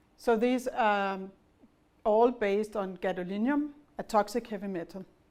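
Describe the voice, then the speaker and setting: Speaking fairly slowly in a fairly high voice, a woman with a Danish accent keeps her intonation fairly even. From Denmark. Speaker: pharma executive. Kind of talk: business presentation.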